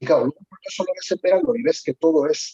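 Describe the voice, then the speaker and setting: Fairly quick and lively in intonation, a man speaks with a dark, mellow tone. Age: 60s. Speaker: mountain club member. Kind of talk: casual discussion. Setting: video call. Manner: halting.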